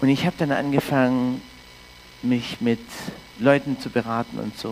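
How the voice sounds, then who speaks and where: Against noticeable background noise, a man of medium pitch speaks at a moderate pace with ordinary pitch variation. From Canada. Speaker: pastor. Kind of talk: sermon.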